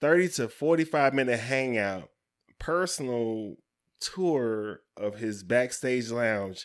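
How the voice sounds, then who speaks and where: Animated male speech at a fairly slow pace and medium pitch, with ordinary pitch variation. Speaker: podcast co-host. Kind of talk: casual banter podcast chat. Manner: animated, profane, joking.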